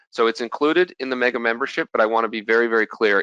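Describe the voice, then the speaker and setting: A man's medium-pitched voice, bright and sharp, with lively intonation and a very fast pace, dry and close with no echo over a quiet background. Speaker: futures trader presenting at an investor expo. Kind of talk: webinar presentation with sales pitch. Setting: home, presenting online.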